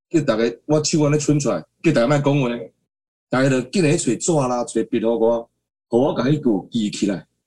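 Dark and mellow in tone, a man's medium-pitched voice carries lively intonation at a moderate pace. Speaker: singer-songwriter. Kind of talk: interview. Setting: video call.

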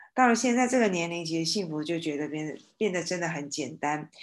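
Over a quiet background, a woman speaks. Her pitch is very deep and low. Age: 50s. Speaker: former hospital nurse. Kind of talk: casual discussion.

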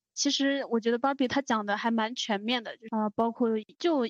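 A woman's unremarkable speaking voice, fairly high in pitch and fairly even in intonation, at a moderate pace, with a dry, close sound and no echo. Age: young. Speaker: podcast co-host. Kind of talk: casual chat.

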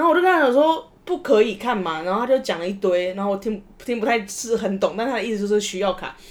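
A woman talks at a very fast pace with hardly any pauses. Her fairly high voice makes very wide pitch swings over noticeable background noise. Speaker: podcast host. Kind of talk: casual chat.

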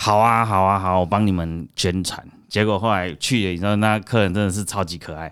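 A man talks at a fairly quick pace with hardly any pauses. His pitch is fairly low and his intonation fairly even. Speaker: red bean cake shop owner. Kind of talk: interview. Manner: halting, many fillers and repetitions.

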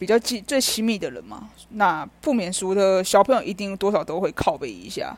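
Lively intonation and vocal fry come from a woman talking at a moderate pace. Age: 30s. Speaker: podcaster. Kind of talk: personal monologue. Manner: casual.

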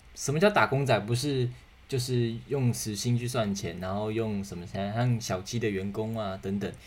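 Somewhat breathy, a man with a Taiwanese accent speaks with ordinary pitch variation. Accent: Taiwanese Mandarin. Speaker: podcast host. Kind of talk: solo podcast monologue. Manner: casual, many fillers.

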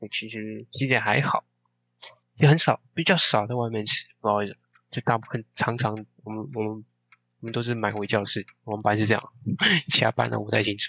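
Recorded with a dry, close sound and no echo, a man speaks at a fairly quick pace with long, frequent pauses, a fairly low pitch, ordinary pitch variation and a bright, sharp tone. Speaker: podcast co-host, university student. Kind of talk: casual chat.

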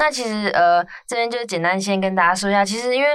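At a fairly quick pace, a woman of medium pitch speaks in a bright, sharp tone with ordinary pitch variation. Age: 20s. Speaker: podcast host. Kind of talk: casual chat.

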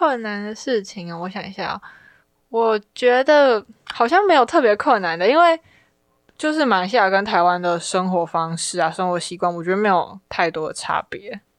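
A woman's medium-pitched voice with very wide pitch swings, at a moderate pace. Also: big swings in loudness, quiet background. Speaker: university student. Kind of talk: casual chat.

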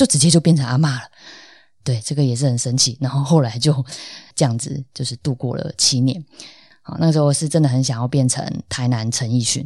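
In a very clean recording with a silent background, a woman speaks with a very deep, low pitch, a dark, mellow tone, somewhat breathy delivery and fairly even intonation. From Taiwan, Tainan. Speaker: podcast host. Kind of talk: solo podcast monologue. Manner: casual, with frequent fillers.

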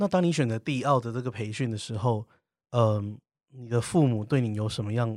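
A man with an ordinary speaking voice at medium pitch, ordinary pitch variation, and a fairly quick pace, on a very clean recording with a silent background and a dry, close sound with no echo. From southern Taiwan. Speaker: podcast host. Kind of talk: interview.

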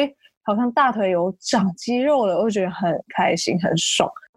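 Over a quiet background, a woman with a fairly high pitch uses a normal speaking voice at a fairly slow pace with lively intonation. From Taiwan, Taichung. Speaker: fitness enthusiast. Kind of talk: interview.

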